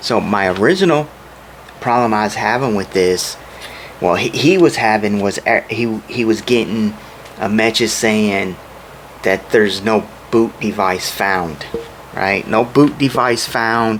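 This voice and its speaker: Over noticeable background noise, a man with a fairly low pitch and ordinary pitch variation speaks with long, frequent pauses. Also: fairly slow pace. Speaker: computer repair hobbyist. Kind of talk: tutorial. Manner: halting.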